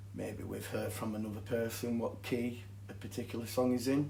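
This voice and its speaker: In a room with audible echo, a man with a strong Yorkshire accent speaks at a moderate pace, somewhat breathy, in a monotone, flat intonation. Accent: thick Yorkshire. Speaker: guitar teacher. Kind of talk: tutorial.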